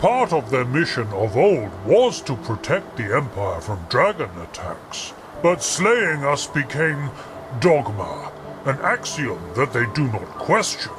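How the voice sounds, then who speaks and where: A man puts on a character voice, pitched fairly high. He speaks at a fairly slow pace over clear background noise. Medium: solo performance. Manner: formal, measured, archaic.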